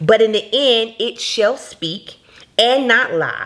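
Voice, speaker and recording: Over noticeable background noise, a woman speaks with an American accent in a fairly high pitch. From Jacksonville, Florida, USA. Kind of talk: motivational faith talk to camera.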